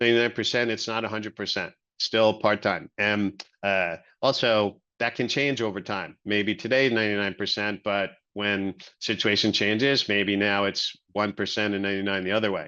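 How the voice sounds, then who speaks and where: The speaker uses a normal speaking voice at a moderate pace. The intonation stays fairly even. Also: man, fairly low pitch for a man. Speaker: venture capital investor. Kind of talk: webinar presentation.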